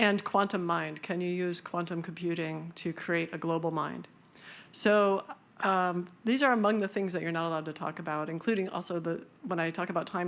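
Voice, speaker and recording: Recorded very cleanly against a silent background, a plain, everyday voice speaks at a fairly quick pace with fairly even intonation. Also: woman. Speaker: neuroscientist speaking at a conference. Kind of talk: conference talk. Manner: casual, with many fillers.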